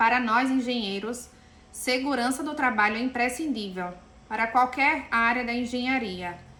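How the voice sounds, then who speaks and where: Here a woman speaks in a Pernambuco accent at a high pitch. She keeps a moderate pace amid audible room echo. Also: ordinary pitch variation. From Pernambuco, Brazil. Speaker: engineer and safety lecturer. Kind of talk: lecture.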